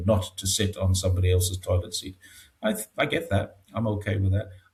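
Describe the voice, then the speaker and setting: A man with a somewhat breathy, fairly low voice speaks in a monotone, flat way at a moderate pace. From northeast England, Newcastle area. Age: 60s. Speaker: expat commentator on China. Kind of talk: casual interview. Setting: home studio, video call. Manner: hesitant, with many fillers.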